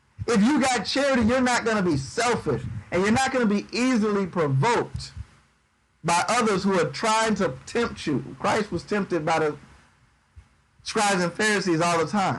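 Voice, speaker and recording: A man's high-pitched voice with lively intonation, a moderate pace, very even loudness and audible room echo. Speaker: bible teacher. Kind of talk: sermon. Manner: dry.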